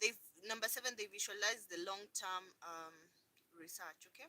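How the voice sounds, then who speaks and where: Fairly high-pitched and bright, sharp in tone, a woman speaks at a moderate pace with an animated tone and lively intonation. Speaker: lifestyle vlogger. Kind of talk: live stream chat. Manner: loud.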